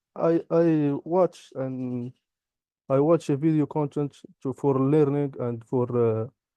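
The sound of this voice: A man's medium-pitched voice, clear and smooth in tone, at a slow pace with fairly even intonation and a dry, close sound with no echo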